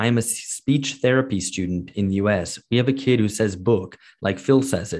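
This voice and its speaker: On a very clean recording with a silent background, an unremarkable speaking voice goes at a fairly quick pace with ordinary pitch variation. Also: man. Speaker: podcast host. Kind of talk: casual podcast chat answering listener questions. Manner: rambling, filler-heavy, bantering.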